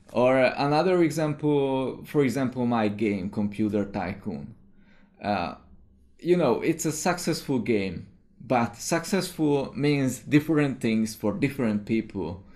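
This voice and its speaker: This is a man with a Hungarian accent. He speaks at a fairly slow pace. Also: medium pitch for a man, lively intonation. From Hungary. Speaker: indie game developer. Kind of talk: video commentary monologue. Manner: hesitant, many fillers.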